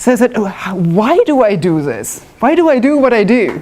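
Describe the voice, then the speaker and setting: A woman with a German accent speaks with lively intonation. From northwest Germany. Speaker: woodworking club member, demonstrator. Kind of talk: live demonstration talk. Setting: club meeting with live audience. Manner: casual, self-deprecating.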